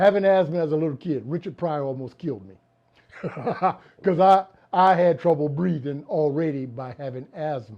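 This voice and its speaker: This man talks at a moderate pace with long, frequent pauses. His fairly high pitch shows ordinary variation. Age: 60s. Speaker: comedy writer and producer. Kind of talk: interview. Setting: video interview on camera. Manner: conversational, with fillers.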